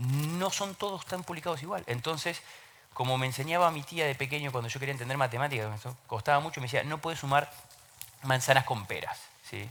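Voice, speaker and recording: A man with an Argentine accent, fairly high pitch, ordinary pitch variation and a fairly quick pace. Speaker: open government consultant. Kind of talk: panel talk. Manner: hesitant fillers, repeats words.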